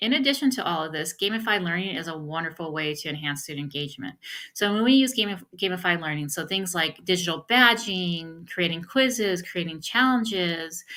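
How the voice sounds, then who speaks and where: Over a very clean recording with a silent background, a woman speaks fairly quickly with hardly any pauses. Her fairly low voice has a bright, sharp tone and lively intonation. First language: not English. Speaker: professor. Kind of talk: recorded lecture.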